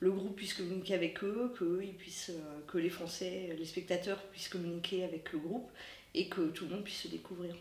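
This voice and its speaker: Noticeable background noise and audible room echo surround a woman with a fairly low voice. She keeps a moderate pace and a fairly even intonation. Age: 40s. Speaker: festival volunteer guide. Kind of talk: interview. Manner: hesitant, many fillers.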